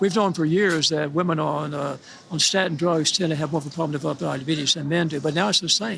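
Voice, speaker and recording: A man's fairly high voice at a very fast pace, fairly even in intonation, against noticeable background noise. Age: 80s+. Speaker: physician and institute founder. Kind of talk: interview answer.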